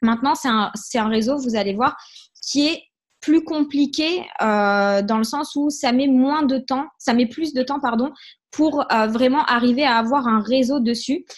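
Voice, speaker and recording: High-pitched female speech, fairly slow, with normal rises and falls in pitch. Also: quiet background. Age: 20s. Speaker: network marketing trainer. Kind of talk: online training session. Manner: hesitant, many fillers.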